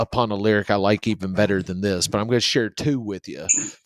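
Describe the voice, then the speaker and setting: A man with a Southern US accent is heard in a dry, close sound with no echo, on a very clean recording with a silent background. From South Central Kentucky. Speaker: podcast co-host. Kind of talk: casual chat. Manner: slow.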